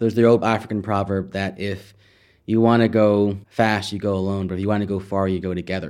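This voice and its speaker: In a very clean recording with a silent background, a man with an American accent speaks at a fairly quick pace and a fairly low pitch. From California, San Jose. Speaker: startup co-founder and scholar. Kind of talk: interview monologue. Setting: recorded at a symposium in Oxford.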